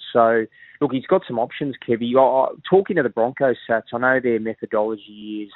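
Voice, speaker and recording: Here a man with an Australian accent talks at a moderate pace. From Sydney, Australia. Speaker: sports journalist. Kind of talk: radio interview.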